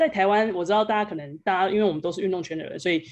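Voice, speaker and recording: A woman speaks in a Taiwanese accent. Her pace is very fast. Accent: Taiwanese Mandarin. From Taiwan, Kaohsiung. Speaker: sports agency founder, former basketball player. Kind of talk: interview / presentation talk.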